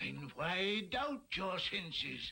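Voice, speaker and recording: A man performs a put-on character voice. It is raspy and high-pitched. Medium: audio drama. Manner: solemn, grave.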